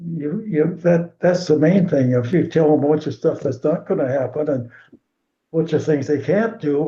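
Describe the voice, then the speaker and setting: A man speaks at a moderate pace in a fairly high pitch with ordinary pitch variation. His tone is dark and mellow, with vocal fry. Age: 90s. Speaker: swim coach. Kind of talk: interview. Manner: halting.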